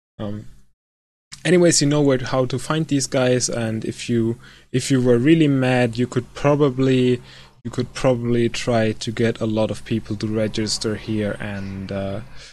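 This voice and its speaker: A man speaks at a moderate pace with a non-native accent, his pitch medium and its variation ordinary. The recording is very clean, with a silent background. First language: not English. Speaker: gaming video creator. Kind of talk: casual tutorial. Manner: hesitant, many fillers.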